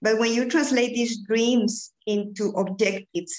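A woman speaks with a Spanish accent. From Bolivia. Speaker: executive coach.

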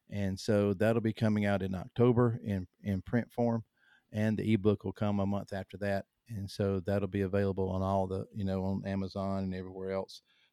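A man's fairly low, dark, mellow voice with a Southern US accent, monotone, flat intonation and a fairly quick pace, on a very clean recording with a silent background and a dry, close sound with no echo. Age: 50s. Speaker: hunter and author. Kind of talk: casual interview conversation. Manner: halting, many fillers and repeats.

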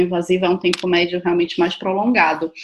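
A woman speaks at a medium pitch with a Brazilian accent. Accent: non-São Paulo Brazilian. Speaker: doctor, podcast co-host. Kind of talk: interview.

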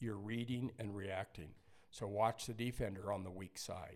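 Here is a man with an ordinary speaking voice and a fairly low pitch. He keeps a moderate pace and fairly even intonation. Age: 60s. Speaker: basketball coach and company founder. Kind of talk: casual chat.

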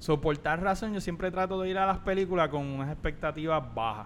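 An unremarkable speaking voice moves at a moderate pace. Its pitch variation is ordinary. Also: man. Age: 40s. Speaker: podcast co-host. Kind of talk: casual chat.

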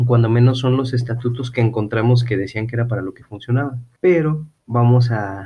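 Somewhat breathy, a man with a Mexican accent speaks at a medium pitch with fairly even intonation, big swings in loudness and hardly any pauses. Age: 30s. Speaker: podcast host. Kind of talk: casual chat; reading aloud.

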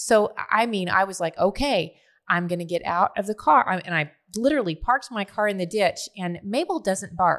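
A plain, everyday voice from a woman at medium pitch, moderate in pace with lively intonation, in a very clean recording with a silent background. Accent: American. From Oklahoma (Tulsa). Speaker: ministry leader and nonprofit founder. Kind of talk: casual chat. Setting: studio.

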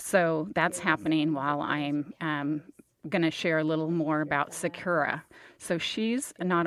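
A woman speaks in an unremarkable speaking voice. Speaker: podcast host. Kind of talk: hosted interview and intro. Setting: studio.

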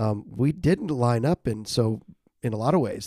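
A plain, everyday voice at a moderate pace, captured in a very clean recording with a silent background and a dry, close sound with no echo. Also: man. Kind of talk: casual interview, personal story.

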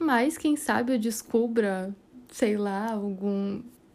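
A woman speaks at a very slow pace with a dark, mellow tone. Her pitch is fairly high, with ordinary pitch variation. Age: 20s. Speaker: podcast host, aspiring astrophysics student. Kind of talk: casual monologue.

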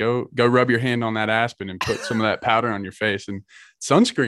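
A man has an unremarkable speaking voice at a fairly low pitch. He talks at a fairly quick pace on a very clean recording with a silent background. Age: 20s. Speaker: outdoor gear company representative and bowhunter. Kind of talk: casual interview.

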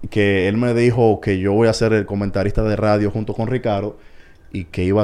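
A man with a fairly low pitch speaks at a moderate pace in a plain, everyday voice. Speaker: baseball commentator. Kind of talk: casual chat.

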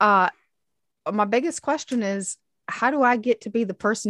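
Heard with a quiet background and a dry, close sound with no echo, a woman with an American accent has an unremarkable speaking voice and lively intonation. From US Midwest (Michigan). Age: 40s. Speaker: podcast co-host. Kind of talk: casual chat.

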